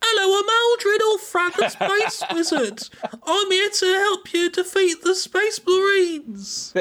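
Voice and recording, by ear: A put-on character voice pitched extremely high. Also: fairly slow pace.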